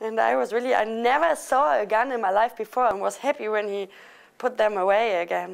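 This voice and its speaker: A woman with a German accent speaks at a fairly quick pace, her fairly high voice carrying lively intonation. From Germany. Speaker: international student. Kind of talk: interview.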